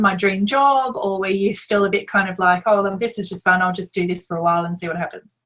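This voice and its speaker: This woman speaks at a medium pitch with an Australian accent. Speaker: yacht crew coach, interviewer. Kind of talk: interview.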